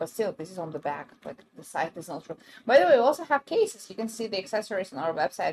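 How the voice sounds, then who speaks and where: A woman at a medium pitch, talking at a very fast pace, with very wide pitch swings and big swings in loudness. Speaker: brand livestream presenter. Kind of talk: live sales stream. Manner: hesitant, many fillers.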